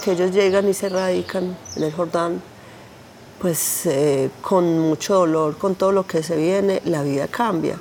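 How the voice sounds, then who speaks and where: The intonation stays fairly even, and there is noticeable background noise. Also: woman. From Colombia, Antioquia (San Carlos). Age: 40s. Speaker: conflict survivor. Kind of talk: testimony.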